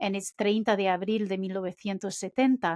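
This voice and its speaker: A woman speaks with ordinary pitch variation. The recording is very clean and dry, close with no echo, over a silent background. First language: Portuguese. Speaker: podcast co-host. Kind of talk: casual conversation.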